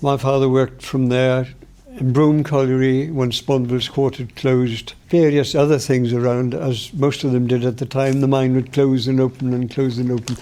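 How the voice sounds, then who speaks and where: This speaker has a Welsh accent and fairly even intonation. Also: man. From Wales, Pembrokeshire (Saundersfoot). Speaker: local elder sharing memories. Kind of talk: oral history recollection.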